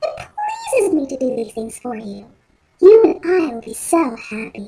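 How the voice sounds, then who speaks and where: A woman uses a put-on character voice with a high pitch. She keeps to a moderate pace. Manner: soothing, reassuring.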